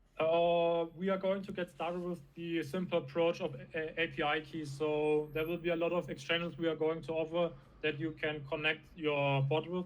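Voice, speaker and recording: Speaking at a moderate pace with hardly any pauses, a man with a German accent uses a fairly high pitch and a monotone, flat intonation. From Germany. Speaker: crypto startup founder. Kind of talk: interview. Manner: halting.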